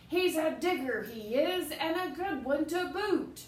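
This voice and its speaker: Loud and at a fairly slow pace, a put-on character voice comes through with slight echo. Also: woman, extremely high pitch for a woman. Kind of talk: children's picture book read-aloud. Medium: read story. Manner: loud, blustering pirate talk.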